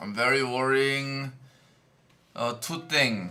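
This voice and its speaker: A man's fairly high-pitched voice with a Korean accent, amid noticeable background noise and audible room echo. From South Korea. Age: 20s. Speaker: game streamer. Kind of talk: live stream commentary. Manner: halting.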